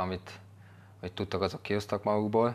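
The man's intonation is fairly even. His voice rests at a fairly low pitch. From Hungary. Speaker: footballer. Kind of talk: casual chat. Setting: studio. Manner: halting. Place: studio. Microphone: lapel.

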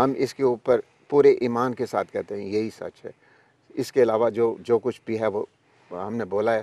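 A man speaks at a moderate pace in a dark, mellow tone with monotone, flat intonation, his loudness swinging widely, with long, frequent pauses and a dry sound with no echo. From Pakistan. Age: 70s. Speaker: overseas Pakistani commentator. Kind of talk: interview.

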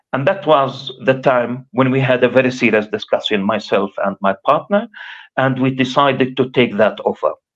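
Lively intonation at a moderate pace, in an Arabic accent, over a quiet background. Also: man. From Gaza, Palestine; Palestine. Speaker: professor and activist; professor. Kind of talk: interview testimony. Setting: remote livestream link. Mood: grave, recounting wartime escape. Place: home room. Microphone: video call.

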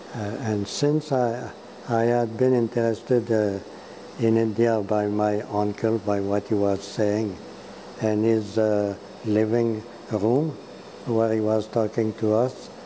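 A man speaks very slowly in a fairly low pitch, with monotone, flat intonation. Long, frequent pauses break up his speech over light background noise. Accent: Quebec. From Quebec, Montreal. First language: French. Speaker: priest and film scholar; interview guest. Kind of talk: interview. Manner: halting. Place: home room. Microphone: lapel.

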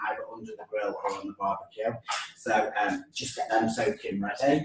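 A man at a moderate pace, audible room echo, music in the background. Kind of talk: cooking tutorial. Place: kitchen. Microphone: camera far.

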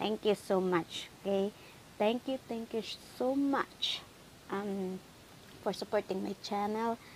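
Over light background noise, a woman with a fairly high pitch and ordinary pitch variation talks at a very slow pace, leaving long, frequent pauses. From Philippines. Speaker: YouTube vlogger; vlogger. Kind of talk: casual thank-you message to subscribers. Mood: grateful, warm. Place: home room. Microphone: earbuds.

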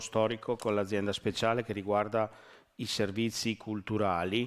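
Monotone, flat delivery from a man with a fairly low pitch, at a fairly slow pace over a quiet background. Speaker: deputy mayor at council meeting. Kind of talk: formal council presentation. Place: hall.

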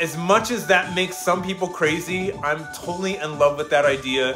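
A man at a fairly high pitch and moderate pace, with audible room echo and clear music in the background

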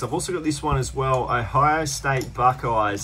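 Over light background noise, a man with an Australian accent talks with ordinary pitch variation. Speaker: thrift reseller YouTuber. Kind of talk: vlog narration. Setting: in thrift stores. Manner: animated. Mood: upbeat, pleased. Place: shop. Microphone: phone near.

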